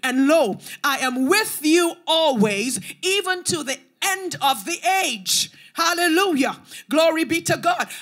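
Against a quiet background, a woman speaks at a fairly slow pace in an extremely high pitch. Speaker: preacher. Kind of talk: sermon. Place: church. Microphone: handheld.

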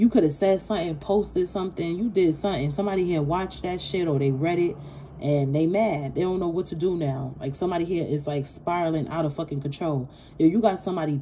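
A woman talks at a very fast pace in a fairly low pitch, with ordinary pitch variation. Light background noise is present. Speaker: tarot reader. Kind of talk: casual tarot reading monologue. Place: home room. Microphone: phone near.

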